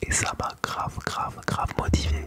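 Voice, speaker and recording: A man whispers at a very slow pace. Noticeable background noise runs behind him. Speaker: ASMR creator. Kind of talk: casual talk to camera. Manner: whispered, soft-spoken.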